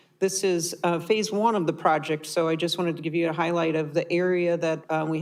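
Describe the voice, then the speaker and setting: In a very clean recording with a silent background, a woman with a fairly low pitch talks at a moderate pace with fairly even intonation. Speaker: city parks and recreation director. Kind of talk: council meeting presentation. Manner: loud; halting with many fillers.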